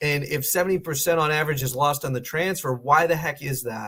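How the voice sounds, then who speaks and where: Speaking at a moderate pace, a man uses an ordinary speaking voice with a fairly high pitch. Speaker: financial planner. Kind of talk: webinar presentation. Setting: online webinar call.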